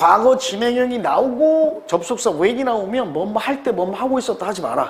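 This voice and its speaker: Through noticeable background noise, a man with an extremely high pitch talks at a fairly quick pace with hardly any pauses. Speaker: English exam tutor. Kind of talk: lecture.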